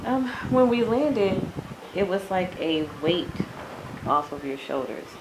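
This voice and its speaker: A woman with a medium pitch speaks at a fairly slow pace, her voice swinging very widely in pitch over noticeable background noise and audible room echo. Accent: American. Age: 40s. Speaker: interviewee, expat in Ghana. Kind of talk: interview.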